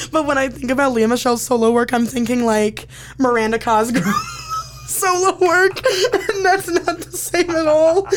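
A woman with an American accent, high pitch and very wide pitch swings, over noticeable background noise. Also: moderate pace. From Indiana (Elkhart). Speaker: entertainment reporter and podcast host. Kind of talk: casual chat. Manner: animated.

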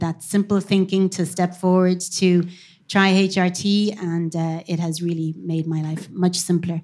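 Slow-ish and monotone, a woman speaks at a fairly slow pace with flat intonation, a medium pitch and a dark, mellow tone, on a very clean recording with a silent background. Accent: Cork. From Cork, Ireland. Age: middle-aged. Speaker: tech company marketing executive. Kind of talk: live panel discussion. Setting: stage with audience.

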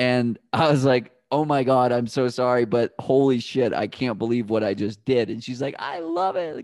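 A man with an American accent speaks at a fairly slow pace in a normal speaking voice. The background is quiet. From Boston area, US. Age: 30s. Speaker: runner and podcaster. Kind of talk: casual interview chat.

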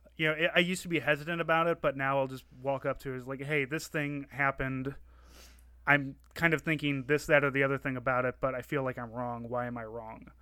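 A man with an American accent speaks very fast in a bright, sharp, fairly high-pitched voice. His intonation is fairly even, and the recording is very clean with a silent background. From Saint Louis, Missouri. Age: 30s. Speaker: podcast co-host and military reservist. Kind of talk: casual interview chat. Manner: hesitant, filler-heavy.

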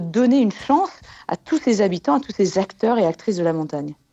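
Her pitch swings across a very wide range. The woman talks fairly quickly. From Haute-Savoie, French Alps. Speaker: glaciologist. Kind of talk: radio interview.

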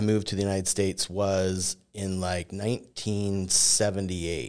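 A plain, everyday voice at a fairly slow pace, on a very clean recording with a silent background. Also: man. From Canada, Edmonton, Alberta. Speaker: mortgage professional and navy veteran. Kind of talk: casual interview. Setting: recorded at a university.

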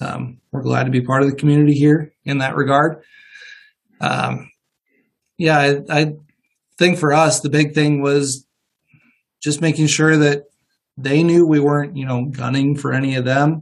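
A man with an American accent and a fairly high pitch speaks at a moderate pace. His intonation is monotone and flat, with long, frequent pauses. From Northwest Iowa. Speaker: dentist. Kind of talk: interview, casual conversation.

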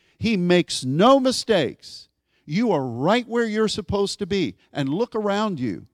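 Very wide pitch swings at a fairly slow pace, on a very clean recording with a silent background. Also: man, high pitch for a man, dry, close sound with no echo. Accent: American. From US, Pittsburgh, Pennsylvania. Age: 60s. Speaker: pastor. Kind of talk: sermon. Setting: church.

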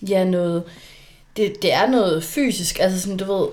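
A woman's plain, everyday voice at a medium pitch with ordinary pitch variation. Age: 20s. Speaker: social worker and coach. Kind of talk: casual chat.

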